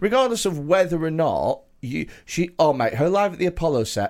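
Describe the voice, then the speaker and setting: A man with a British accent speaks in a high pitch for a man, his intonation lively. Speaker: comedian and podcast host. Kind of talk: casual banter. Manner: jokey, self-praising.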